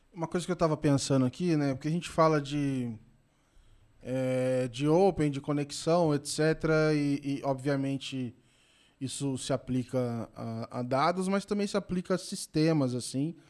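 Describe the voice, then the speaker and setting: An unremarkable speaking voice from a man, in a very clean recording with a silent background. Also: fairly high pitch for a man, ordinary pitch variation, fairly slow pace. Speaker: podcast host. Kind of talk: casual interview. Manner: informal, relaxed.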